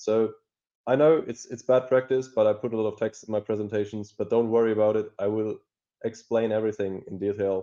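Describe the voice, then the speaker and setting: A man speaks fairly quickly at a medium pitch, his dark, mellow tone carried on fairly even intonation. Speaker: cybersecurity expert. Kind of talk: conference talk. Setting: online talk. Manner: hesitant, filler words.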